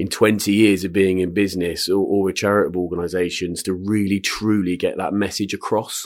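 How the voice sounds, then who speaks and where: Very deep and low in pitch, a man talks in a monotone, flat way on a very clean recording with a silent background. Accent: West Country. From Swindon, Wiltshire, England. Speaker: retired entrepreneur and investor. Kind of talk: casual interview. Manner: hesitant with fillers.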